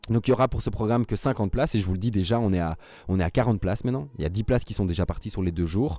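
With a dark, mellow tone and a fairly low pitch, a man speaks at a very fast pace with ordinary pitch variation on a very clean recording with a silent background. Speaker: mental coach, podcast host. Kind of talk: solo motivational podcast monologue. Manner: animated, emotional.

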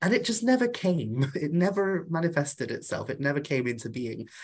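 Speaking in a North Welsh accent, a man with a high pitch uses lively intonation at a moderate pace. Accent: Welsh (North Wales). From Wales, Anglesey. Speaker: author and witch. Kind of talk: casual interview.

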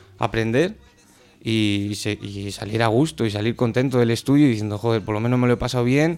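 Speaking at a fairly quick pace, the man has a medium pitch. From Spain. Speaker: rapper. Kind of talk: casual chat. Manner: halting, repeated words.

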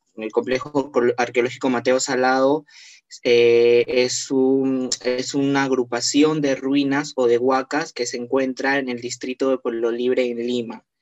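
The man's medium-pitched voice stays monotone and flat as he speaks at a fairly slow pace, with a dry, close sound and no echo. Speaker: tourism graduate, accessibility researcher. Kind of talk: online panel discussion.

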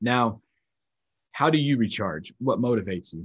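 With an American accent, a man speaks at a moderate pace with lively intonation in a dry, close sound without echo. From North Carolina, US South. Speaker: military instructor and trainer. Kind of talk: lecture and teaching.

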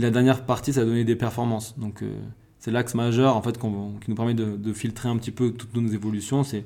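A man with a medium-pitched, dark, mellow voice speaks in a flat monotone at a fairly quick pace, in a very clean recording with a silent background. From Corsica. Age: 20s. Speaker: sport scientist. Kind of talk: casual interview. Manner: hesitant, many fillers.

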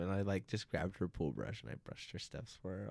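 His pitch sits fairly low. The man keeps a fairly quick pace. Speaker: podcast host. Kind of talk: casual chat. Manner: loud talker.

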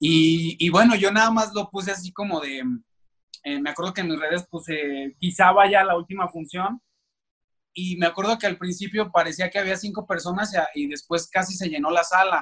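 A man's high voice, bright and sharp in tone, at a moderate pace with fairly even intonation. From Mexico, Aguascalientes. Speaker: actor. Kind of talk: interview. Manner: halting, with many repeated words.

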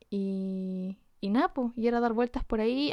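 A woman speaks in a normal speaking voice with a fairly high pitch, fairly even intonation and a fairly slow pace, against a quiet background. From Chile, Antofagasta. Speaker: illustrator and podcast co-host. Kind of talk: casual chat.

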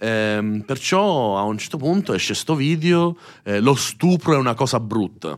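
A man speaks at a fairly slow pace in a medium pitch, his voice making very wide pitch swings. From Sicily (Messina). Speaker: youtuber, streamer and musician. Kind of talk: casual interview chat.

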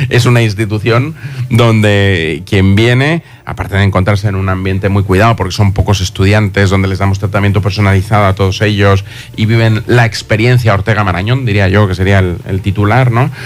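In an unremarkable speaking voice, a man talks at a fairly quick pace with fairly low pitch, very even loudness and fairly even intonation. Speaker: university institute director. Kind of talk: radio interview. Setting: radio studio.

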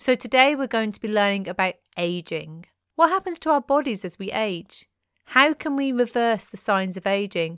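Speaking with a British accent, a woman with a fairly high pitch moves at a moderate pace with very wide pitch swings. The sound is dry and close with no echo, in a very clean recording with a silent background. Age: 30s. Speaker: podcast host. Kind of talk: scripted narration.

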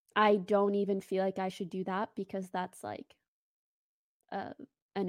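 A quiet woman's voice with a non-native accent, medium in pitch, monotone and flat at a moderate pace, in a dry, close sound with no echo on a very clean recording with a silent background. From Morocco. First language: not English. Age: 20s. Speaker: streamer. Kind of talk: casual chat.

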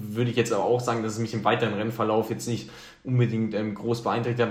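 A man speaks at a very fast pace with a medium pitch and monotone, flat intonation. Audible room echo and noticeable background noise come through. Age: 20s. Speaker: trail runner, student. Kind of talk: interview.

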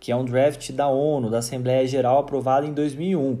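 Through audible room echo, a man with a Brazilian accent talks at a moderate pace in a dark, mellow tone. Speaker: university lecturer. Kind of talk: recorded lecture.

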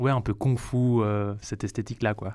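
With monotone, flat intonation, a man talks on a very clean recording with a silent background. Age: 20s. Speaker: jazz banjo player and composer. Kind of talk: radio interview. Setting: studio.

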